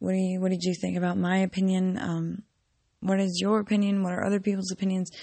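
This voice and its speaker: Breathy to a degree, a woman speaks very fast at a medium pitch, monotone and flat, with very even loudness. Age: 20s. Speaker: podcaster. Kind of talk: personal monologue. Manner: hesitant, many ums.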